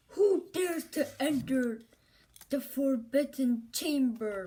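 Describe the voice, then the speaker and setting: A woman puts on a character voice, high-pitched and loud. She speaks at a very slow pace. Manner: commanding.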